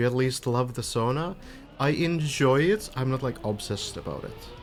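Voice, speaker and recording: Music plays in the background as a man speaks in a medium pitch. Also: ordinary pitch variation, moderate pace. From Finland. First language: Finnish. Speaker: video game stream caster. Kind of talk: live commentary. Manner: casual.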